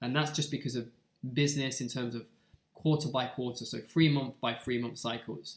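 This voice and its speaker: A somewhat breathy, medium-pitched male voice with fairly even intonation. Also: moderate pace. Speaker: forex trader and educator. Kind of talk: tutorial.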